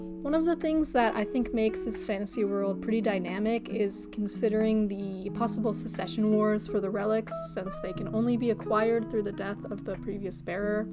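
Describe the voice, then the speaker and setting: A woman's medium-pitched voice at a fairly quick pace, with ordinary pitch variation, hardly any pauses, and music in the background. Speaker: digital artist. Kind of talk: casual talk to camera.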